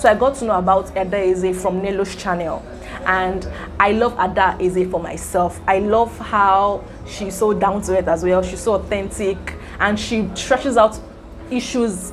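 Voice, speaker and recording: Backed by music, a woman at a medium pitch talks at a moderate pace with fairly even intonation. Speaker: YouTuber. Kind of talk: casual vlog talk. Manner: stammers sometimes.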